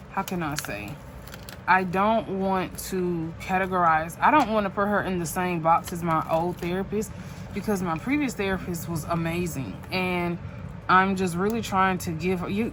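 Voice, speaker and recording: Audible room echo surrounds a woman who speaks at a medium pitch and a moderate pace with ordinary pitch variation. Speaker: journaling YouTuber. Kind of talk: casual chat while crafting. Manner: halting, self-correcting.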